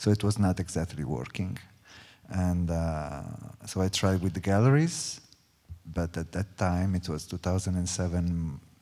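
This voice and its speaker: A man's very deep, low voice in a dark, mellow tone, with an Italian accent, a moderate pace and ordinary pitch variation. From Italy. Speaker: choreographer. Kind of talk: panel talk. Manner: halting.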